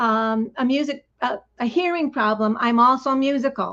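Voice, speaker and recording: A woman's high-pitched voice at a fairly slow pace, with ordinary pitch variation and a quiet background. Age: 60s. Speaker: guest speaker, former singer with hearing loss. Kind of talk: personal talk at a live-streamed event. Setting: live-streamed online event. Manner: halting, many fillers.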